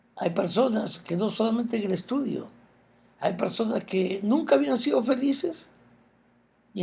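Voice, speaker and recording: Fairly slow in pace, a man talks with a dark, mellow tone, a high pitch and lively intonation. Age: 60s. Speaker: self-help speaker. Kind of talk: motivational talk.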